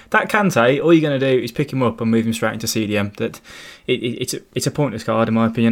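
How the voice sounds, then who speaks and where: A man with lively intonation on a very clean recording with a silent background. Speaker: game analyst. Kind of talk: casual chat.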